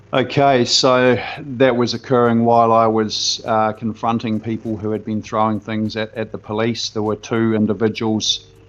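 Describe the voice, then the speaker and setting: In a Southland New Zealand accent, the speaker talks at a moderate pace in a monotone, flat intonation with hardly any pauses. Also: man, medium pitch for a man. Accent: rolled Southland R's. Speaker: protest participant. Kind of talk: interview account. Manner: hesitant with fillers.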